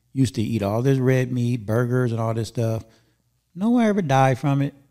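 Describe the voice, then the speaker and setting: In a Southern California accent, a man speaks with a dark, mellow tone in a very clean recording with a silent background. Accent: Southern Californian American English. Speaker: podcast host. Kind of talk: casual interview chat. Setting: studio.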